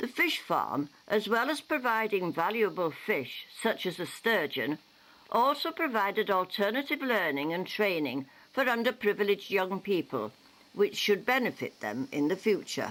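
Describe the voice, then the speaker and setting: A woman speaks at a moderate pace with a medium pitch and vocal fry. Her pitch swings very widely. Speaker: newsreel narrator. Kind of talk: local newsreel narration.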